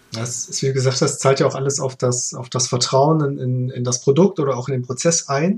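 A man at medium pitch and moderate pace, fairly even in intonation with hardly any pauses, over noticeable background noise. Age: 30s. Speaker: freelance DevOps engineer. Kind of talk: casual chat.

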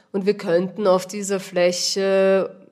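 Very slow, monotone, flat speech from a woman at a medium pitch, with a Viennese accent. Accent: Viennese, audible. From Vienna, Austria. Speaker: organic vegetable grower. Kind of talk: interview.

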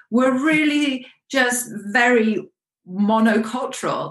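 A woman speaks with a British accent. Her intonation is lively. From UK. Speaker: life coach. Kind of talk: interview.

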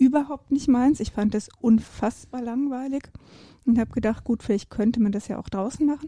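A woman speaks fairly high with a dark, mellow tone and a somewhat breathy quality. Her pace is moderate and her intonation fairly even. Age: 50s. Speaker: ultra and trail runner, business manager. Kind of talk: casual interview. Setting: podcast recording.

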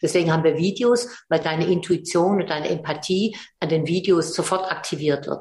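Somewhat breathy, a woman speaks at medium pitch. Her pace is moderate. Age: 70s. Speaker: psychologist and philanthropist. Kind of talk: interview.

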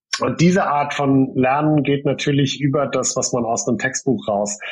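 Fairly slow male speech at a medium pitch. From Germany (Heidelberg). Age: 40s. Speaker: coding school director. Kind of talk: interview. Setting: remote call from home. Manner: hesitant with many fillers.

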